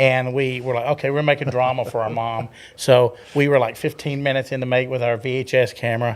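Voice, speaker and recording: The man's pitch sits in the medium range. He delivers it in a monotone, flat way. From Texas (North, West and East Texas). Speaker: filmmaker. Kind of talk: casual interview chat. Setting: studio.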